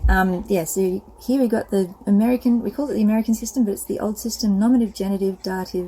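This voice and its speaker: A woman at medium pitch with an Australian accent, a very fast pace and ordinary pitch variation, over noticeable background noise. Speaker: self-publisher of books. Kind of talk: casual product walkthrough. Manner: hesitant, many fillers.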